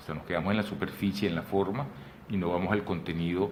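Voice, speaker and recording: A very deep, low male voice amid audible room echo and noticeable background noise. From Venezuela. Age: 60s. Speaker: photographer and artist. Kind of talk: interview conversation. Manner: animated; halting.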